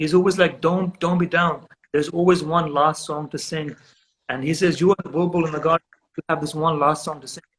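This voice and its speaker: A man with a Pakistani accent speaks at a fairly quick pace in a high pitch with fairly even intonation, in a dry, close sound with no echo. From Britain. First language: Urdu. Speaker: photographer and writer. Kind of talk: casual interview chat.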